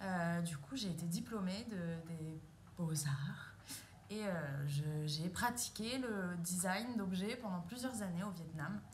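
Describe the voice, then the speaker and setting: With noticeable background noise and audible room echo, a woman talks at a very slow pace with lively intonation. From France, moved all over. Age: 30s. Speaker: pole dance instructor and performer. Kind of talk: casual self-introduction monologue. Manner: hesitant, many 'euh' fillers.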